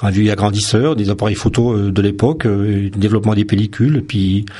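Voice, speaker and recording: A man's voice is somewhat breathy, with a dark, mellow tone. His loudness stays very even and his intonation fairly even. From France, Vosges (Lorraine). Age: 50s. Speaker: photographer. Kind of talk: radio interview. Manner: hesitant, many fillers.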